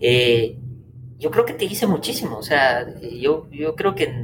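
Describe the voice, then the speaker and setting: A man's fairly high-pitched voice at a fairly slow pace over noticeable background noise. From Guatemala, Quetzaltenango. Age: 20s. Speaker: engineer and university professor. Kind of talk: interview. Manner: halting, many repetitions and fillers.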